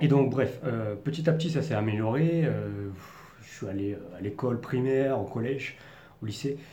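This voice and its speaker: With a slight Parisian accent, a man speaks at a moderate pace and medium pitch with ordinary variation, amid noticeable background noise and audible room echo. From Paris region, France. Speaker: vlogger. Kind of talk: personal monologue.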